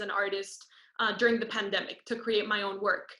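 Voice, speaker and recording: Speaking at a fairly quick pace with a Spanish accent, a woman has a bright, sharp tone and fairly even intonation. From Costa Rica. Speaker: student performer. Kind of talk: interview.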